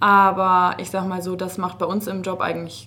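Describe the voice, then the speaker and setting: The woman's pitch is fairly low. Her tone comes across bright and sharp. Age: 20s. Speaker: master hairdresser. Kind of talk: casual interview. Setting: studio.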